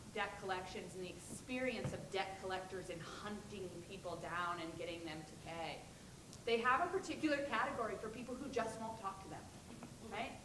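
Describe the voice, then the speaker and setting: Over noticeable background noise and audible room echo, a woman speaks at a fairly quick pace in a medium pitch with lively intonation. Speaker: academic panelist. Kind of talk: panel discussion response. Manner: loud.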